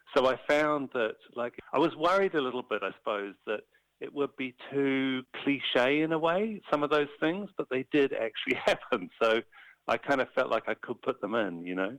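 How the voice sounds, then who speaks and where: A man with a New Zealand accent and a fairly high pitch speaks at a moderate pace with lively intonation, in a dry, close sound with no echo. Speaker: animator and illustrator. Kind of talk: interview.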